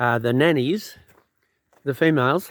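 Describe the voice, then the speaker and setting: This man has a medium pitch. He speaks with an Australian accent. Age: 70s. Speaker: hobby farmer. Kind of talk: casual walk-around talk to camera. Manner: hesitant, casual.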